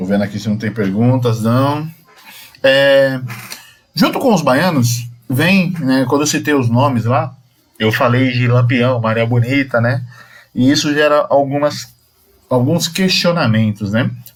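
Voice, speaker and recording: A man talks at a fairly slow pace with long, frequent pauses and ordinary pitch variation. The room echo is audible. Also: medium pitch for a man. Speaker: Umbanda religious teacher. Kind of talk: lecture.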